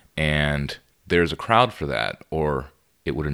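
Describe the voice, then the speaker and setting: Using vocal fry, a man with an American accent and a very deep, low pitch shows ordinary pitch variation. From Texas (Laredo). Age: 40s. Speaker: magazine publisher. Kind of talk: casual interview. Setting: studio.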